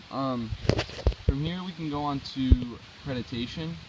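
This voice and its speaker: A man speaks at a middling speed, his pitch varying normally. Background noise is clearly noticeable, too. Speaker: student. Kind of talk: casual explanation. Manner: halting, with stutters; many filler ums.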